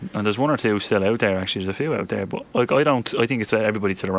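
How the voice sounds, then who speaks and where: In a Dublin accent, a man speaks at a very fast pace with noticeable background noise behind him. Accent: Dublin Irish. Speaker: radio host. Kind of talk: casual radio interview. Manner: casual, chatty.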